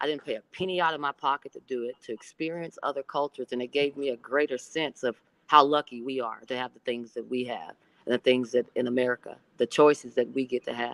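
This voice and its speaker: A woman talks at a very fast pace with an Oklahoma accent. Her pitch is very deep and low. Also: fairly even intonation, dry, close sound with no echo. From Oklahoma, US. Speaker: basketball coach, former pro player. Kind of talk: podcast interview.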